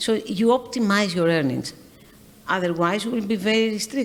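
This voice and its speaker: A woman speaks with a Greek accent, and audible room echo surrounds her voice. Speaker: shipping company executive. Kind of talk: on-stage interview. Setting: stage with audience. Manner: halting.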